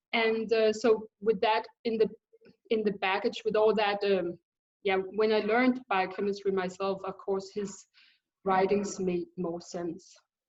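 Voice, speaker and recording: A woman with a Danish accent speaks at a fairly slow pace in a monotone, flat intonation. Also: medium pitch for a woman. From Denmark. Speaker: thyroid specialist, biochemist. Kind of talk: interview. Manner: halting.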